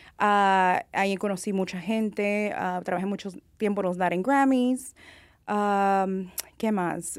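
On a very clean recording with a silent background, a woman speaks at a very slow pace, her medium pitch following fairly even intonation. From California. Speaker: makeup artist. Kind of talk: interview. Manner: halting.

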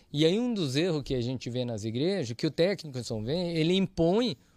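A man talks at a moderate pace, his pitch swinging very widely, in a very clean recording with a silent background. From Brazil, Londrina, Paraná. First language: Japanese (speaking Portuguese). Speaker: church audio engineer. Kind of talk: casual interview chat.

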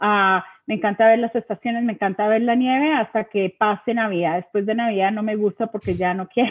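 A woman talks at a fairly quick pace with hardly any pauses. Her pitch is fairly high and her intonation fairly even. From Bogotá, Colombia. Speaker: school system community liaison. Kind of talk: interview.

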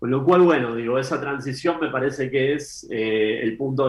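Using a plain, everyday voice, a man speaks at a medium pitch and moderate pace with fairly even intonation. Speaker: economist. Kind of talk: interview. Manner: measured, formal.

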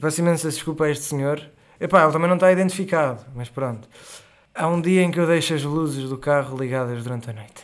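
Someone with a European Portuguese accent talks at a very fast pace with ordinary pitch variation. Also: man. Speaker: storyteller. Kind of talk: casual storytelling. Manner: animated; halting.

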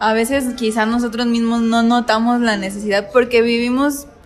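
Over noticeable background noise, a woman with a fairly high pitch speaks at a moderate pace in monotone, flat intonation. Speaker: podcast co-host. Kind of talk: casual chat about faith.

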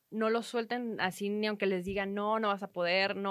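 Here is a woman with an ordinary speaking voice. Her pitch is medium. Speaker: entrepreneur and sports photographer. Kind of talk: interview conversation.

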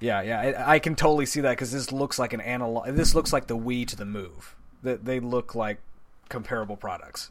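A normal speaking voice from a man, medium in pitch, at a fairly quick pace with ordinary pitch variation. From Texas. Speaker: video game podcast guest. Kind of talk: casual chat.

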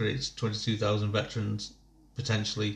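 Somewhat breathy, a man speaks at a fairly low pitch in a monotone, flat intonation. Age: 30s. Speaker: podcast host and army veteran. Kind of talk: casual chat.

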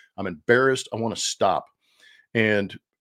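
A man at a medium pitch and fairly quick pace, ordinary in pitch variation, on a very clean recording with a silent background. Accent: American. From US West, Los Angeles area. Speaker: baseball color commentator, former player. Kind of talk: casual interview.

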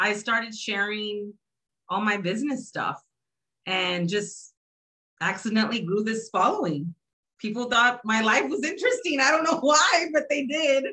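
With an American accent, a woman speaks at a moderate pace in a fairly high, bright, sharp tone with very wide pitch swings. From Texas, San Antonio. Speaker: blogger and publisher. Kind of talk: casual chat.

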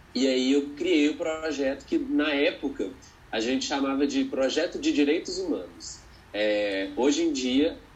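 A man's voice at very even loudness and a fairly slow pace. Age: 20s. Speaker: educator. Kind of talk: interview conversation.

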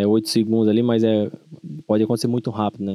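At a very fast pace, a man speaks in a dark, mellow tone with a fairly low pitch. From São Paulo state interior, Brazil. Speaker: rodeo bull rider and herd manager. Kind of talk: interview.

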